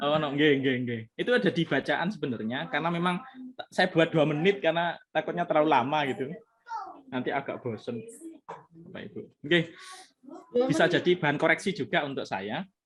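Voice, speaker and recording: A man speaks fairly quickly in a fairly high, shrill voice with lively intonation. He leaves long, frequent pauses. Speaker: lecturer presenting at a teacher workshop. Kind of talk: workshop Q&A discussion.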